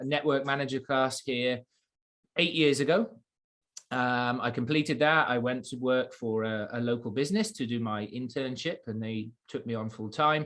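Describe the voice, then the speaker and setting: In an English accent, a man with a bright, sharp tone speaks with ordinary pitch variation against a quiet background. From England. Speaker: college international program coordinator. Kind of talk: webinar presentation. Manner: halting, many fillers.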